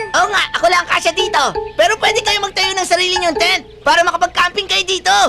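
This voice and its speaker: An extremely high-pitched put-on character voice races along at a very fast pace over clear background music. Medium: fan dub.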